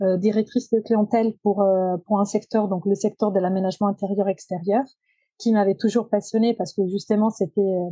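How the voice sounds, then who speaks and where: A woman speaks in a dark, mellow voice at medium pitch and a moderate pace. Her intonation is flat and monotone, her loudness very even, and the sound dry and close with no echo. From Italy, Genoa. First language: Italian (speaking French). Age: 30s. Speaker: circular economy professional. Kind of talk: podcast interview. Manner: hesitant, many fillers.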